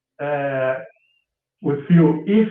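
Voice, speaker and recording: A man with a Portuguese accent speaks at a fairly high pitch. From Brazil, Rio de Janeiro. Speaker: caller, psychology student. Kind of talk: call-in show discussion. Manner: halting.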